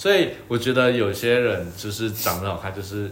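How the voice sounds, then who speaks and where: The intonation stays fairly even. Room echo can be heard. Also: man. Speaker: podcast co-host. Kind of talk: casual chat.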